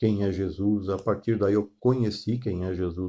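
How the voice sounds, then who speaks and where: The background is quiet as a man speaks at a very slow pace. His pitch sits fairly low. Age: 60s. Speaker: pastor. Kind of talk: sermon. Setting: online live stream. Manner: halting, many fillers.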